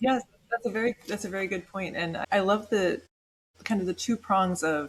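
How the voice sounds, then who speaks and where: Ordinary pitch variation at a moderate pace, in an unremarkable speaking voice. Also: woman. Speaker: podcast host. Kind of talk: interview question.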